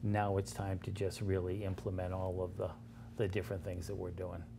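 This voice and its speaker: A man speaks in a dark, mellow, somewhat breathy tone. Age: 60s. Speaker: nonprofit founder. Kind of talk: interview. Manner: halting, many fillers.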